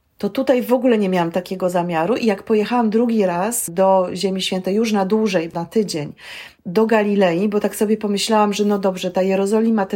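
Very fast speech comes from a woman with a medium pitch, ordinary pitch variation and a dark, mellow tone. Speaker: film director and storytelling trainer. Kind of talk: interview.

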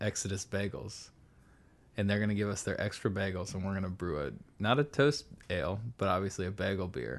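A man with an American accent has a normal speaking voice, fairly low in pitch with ordinary pitch variation. He talks at a fairly quick pace against a quiet background. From US Pacific Northwest (Seattle). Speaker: brewer. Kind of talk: casual chat. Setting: studio.

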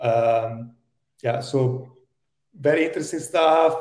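This is a man talking with an Italian accent. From Italy. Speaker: tech executive. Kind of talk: interview.

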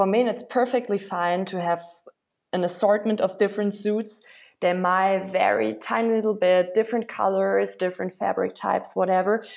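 The speaker has a German accent and talks at a moderate pace. The intonation is fairly even. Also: woman, medium pitch for a woman. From Germany, Berlin. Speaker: startup founder. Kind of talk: interview.

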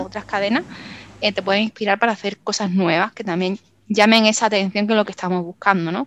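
A woman with an Andalusian accent at a very fast pace, medium pitch and fairly even intonation, in a dry, close sound with no echo. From Málaga, Andalusia, Spain. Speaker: copywriter. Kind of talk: interview. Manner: halting.

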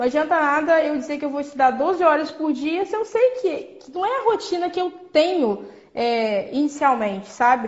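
Woman at a fairly quick pace. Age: 20s. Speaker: former student, essay writing tips. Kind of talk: casual interview, tutorial. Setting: Instagram live.

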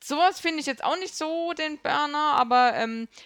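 Here a woman speaks with a Bavarian accent at a moderate pace, her high pitch carried by lively intonation. The sound is dry and close with no echo. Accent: sounds Bavarian, like Munich area. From Kurpfalz, Germany. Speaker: gaming podcast guest. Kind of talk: casual chat.

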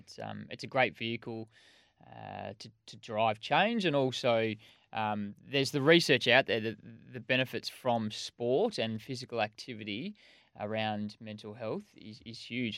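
With an ordinary speaking voice, a man of medium pitch talks at a fairly slow pace, with ordinary pitch variation and big swings in loudness, over a quiet background. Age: 30s. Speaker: podcast co-host. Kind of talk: casual chat.

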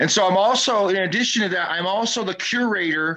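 A man speaks in a raised, projected voice with an American accent. His pitch is high and his tone bright and sharp. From US West Coast. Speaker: DJ and hip hop historian. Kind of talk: casual chat.

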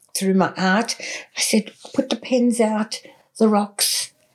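A woman with an Australian accent speaks at a very slow pace in a medium pitch, sounding somewhat breathy. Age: 70s. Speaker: artist and healer. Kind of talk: interview conversation.

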